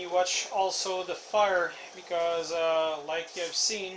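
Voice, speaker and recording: A man with a French Canadian accent in a raised, projected voice, high in pitch, against noticeable background noise. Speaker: deer hunter. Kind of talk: casual talk to camera.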